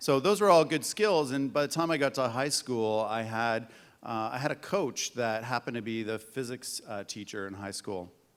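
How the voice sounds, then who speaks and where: A man with a Canadian accent talks in a normal speaking voice at medium pitch, with lively intonation and a moderate pace. He hardly pauses, and the recording is very clean with a silent background. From Canada, Hamilton, Ontario. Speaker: tech entrepreneur. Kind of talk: panel discussion.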